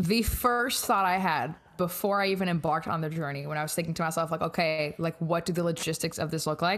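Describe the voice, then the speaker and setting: The speaker rattles along at a very fast pace with hardly any pauses, in an American accent. The recording is very clean, with a silent background. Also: woman, fairly low pitch for a woman, ordinary pitch variation. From France, raised also in US. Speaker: podcast guest. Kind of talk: casual chat.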